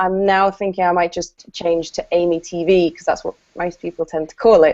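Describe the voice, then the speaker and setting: A woman at medium pitch with a southern English accent and fairly even intonation. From southern England, Brighton. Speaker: copywriter and content trainer. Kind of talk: casual interview chat.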